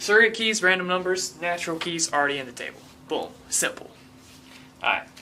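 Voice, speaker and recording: Noticeable background noise runs under speech at a fairly quick pace broken by long, frequent pauses. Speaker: programming teacher. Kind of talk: tutorial. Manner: fast; animated.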